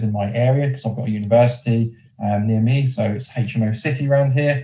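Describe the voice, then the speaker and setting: A man speaks at a fairly quick pace in a medium pitch, his dark, mellow tone somewhat breathy and his intonation fairly even. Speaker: business development manager at a lender. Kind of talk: presentation.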